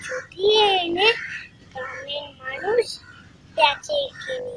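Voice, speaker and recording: Over music in the background, a woman speaks at an extremely high pitch with very wide pitch swings. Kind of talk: poetry reading.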